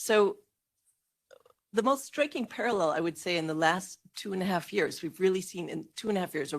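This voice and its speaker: Speaking fairly quickly with an American accent, a woman uses lively intonation in an ordinary speaking voice. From United States. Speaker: panelist, policy analyst. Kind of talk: conference panel talk. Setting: conference hall.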